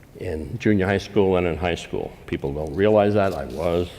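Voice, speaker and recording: Audible room echo hangs around the speech. The speaker's intonation rises and falls in a lively way. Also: man. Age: 70s. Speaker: policy think tank founder and speaker. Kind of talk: invited lecture.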